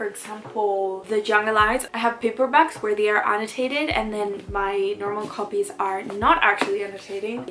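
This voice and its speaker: Talking at a fairly quick pace with a non-native accent, a woman uses a fairly high pitch and ordinary pitch variation over noticeable background noise. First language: not English. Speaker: booktuber. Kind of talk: casual vlog tutorial. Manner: casual, filler-heavy.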